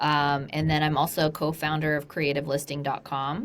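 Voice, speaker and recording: Her very deep, low voice carries a woman's speech at a moderate pace. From Colombia. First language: Spanish. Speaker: real estate investor. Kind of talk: interview.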